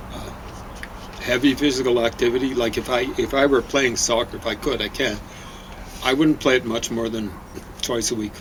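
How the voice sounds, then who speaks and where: The speaker moves at a moderate pace with long, frequent pauses, over noticeable background noise. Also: man, medium pitch for a man, fairly even intonation. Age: 70s. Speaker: co-host of a diet video show. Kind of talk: casual chat. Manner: halting, many fillers.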